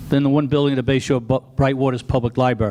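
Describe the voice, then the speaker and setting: A man talks with an American accent in a fairly high pitch. Noticeable background noise runs behind him. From Long Island, New York. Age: 70s. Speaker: retired fire chief. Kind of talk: public comment at town meeting. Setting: town board meeting.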